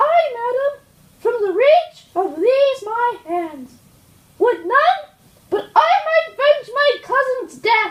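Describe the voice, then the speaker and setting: Putting on a squeaky character voice at an extremely high pitch, a man speaks very slowly. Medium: stage play. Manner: intense, emotional.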